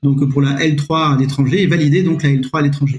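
This man's somewhat breathy voice sits fairly high, moving at a moderate pace with fairly even intonation. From France, Nevers. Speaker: history-geography teacher. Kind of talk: podcast interview. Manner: halting, many repetitions.

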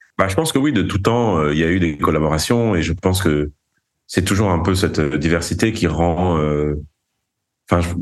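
This man has a very deep, low-pitched voice. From Paris, France and Galicia, Spain. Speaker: drummer and producer. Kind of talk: interview. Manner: halting.

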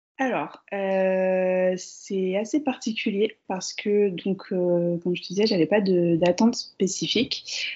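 Speech comes at a very slow pace, and the pitch moves in an ordinary way. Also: woman. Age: 30s. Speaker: mother sharing birth stories. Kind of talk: casual interview, personal testimony. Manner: hesitant, many fillers and repetitions.

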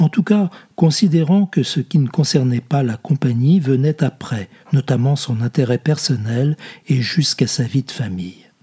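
Over music in the background, a man speaks at a fairly slow pace in a solemn tone, his fairly high voice carrying lively intonation. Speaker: audiobook reader. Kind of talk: literary audiobook reading, read aloud from a novel. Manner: slow, measured, solemn literary delivery; fluid, expressive reading of long winding sentences.

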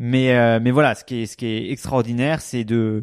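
A man speaks in a monotone, flat intonation in a very clean recording with a silent background. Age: 30s. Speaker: startup founder. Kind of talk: casual interview.

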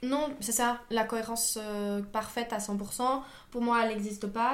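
With noticeable background noise and audible room echo, a woman speaks in a fairly high pitch with fairly even intonation. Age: 20s. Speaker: engineer and climate activist. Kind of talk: podcast interview.

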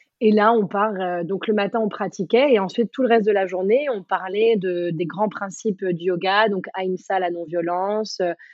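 In an unremarkable speaking voice, a woman talks at a moderate pace with fairly even intonation and a medium pitch. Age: 30s. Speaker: yoga teacher and former dancer. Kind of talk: casual interview.

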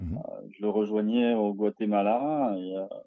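Fairly even intonation in a man's fairly low pitch. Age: 30s. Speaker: cruise ship sommelier. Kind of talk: interview. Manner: hesitant, many fillers.

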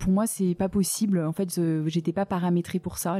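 A woman with a dark, mellow tone and a fairly low pitch speaks with monotone, flat intonation in a somewhat breathy voice, the sound dry and close with no echo. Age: 30s. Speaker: adoptive mother. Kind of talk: testimony.

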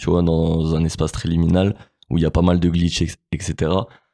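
Very deep and low, a man's voice with a dark, mellow tone moves at a fairly slow pace. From Grenoble, France. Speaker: rapper. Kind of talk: interview. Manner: halting.

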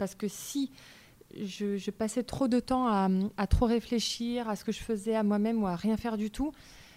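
Moving at a moderate pace, a woman's fairly high voice carries a dark, mellow tone. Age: 30s. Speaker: naturopath. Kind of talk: interview. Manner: halting, many fillers.

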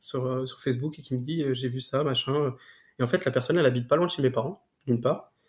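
Fairly even intonation runs through a somewhat breathy voice. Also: man. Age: 20s. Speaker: paralympic sprinter. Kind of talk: interview. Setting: at home.

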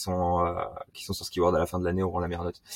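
A man's very deep, low voice comes through a very clean recording with a silent background and a dry, close sound with no echo. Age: 20s. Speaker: SEO specialist. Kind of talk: casual interview. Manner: fast.

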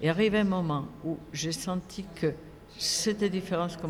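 A woman with a Spanish accent talks at a fairly slow pace with ordinary pitch variation over noticeable background noise. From Spain. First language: Spanish (speaking French). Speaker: film festival director and academic. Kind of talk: interview. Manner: halting.

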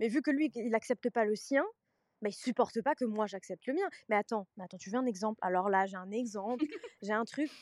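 Recorded very cleanly, dry and close with no echo and a silent background, a woman with a plain, everyday voice and a fairly high pitch talks at a fairly quick pace with ordinary pitch variation and big swings in loudness. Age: 20s. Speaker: social media content creator. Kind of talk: casual chat.

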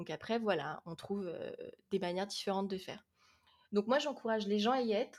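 At a moderate pace, a woman with a plain, everyday voice speaks at medium pitch, with ordinary pitch variation and big swings in loudness. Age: 20s. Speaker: young adult fantasy novelist. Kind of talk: casual interview.

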